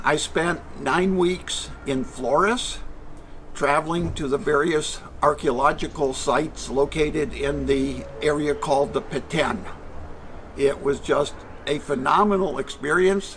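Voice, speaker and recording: Amid noticeable background noise, a man with an American accent speaks fairly slowly at a fairly high pitch with ordinary pitch variation. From Michigan, US Midwest. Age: 70s. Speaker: retired traveler. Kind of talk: interview.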